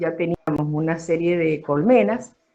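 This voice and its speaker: A woman with a fairly low voice speaks at a moderate pace. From Argentina, Mendoza (Guaymallén). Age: 60s. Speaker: former beekeeper. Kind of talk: interview. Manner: hesitant, many fillers.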